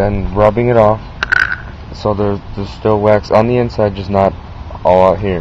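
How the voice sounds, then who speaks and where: Against noticeable background noise, a man talks fairly slowly in a fairly low, monotone voice with flat intonation, the sound dry with no echo. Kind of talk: casual vlog tutorial. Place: garage. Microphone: phone near.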